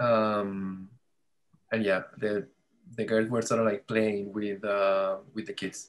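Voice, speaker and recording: The voice moves at a very slow pace in a monotone, flat intonation, with long, frequent pauses. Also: man, fairly low pitch for a man. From Puerto Rico. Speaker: visual journalist. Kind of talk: interview answer. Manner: casual, hesitant.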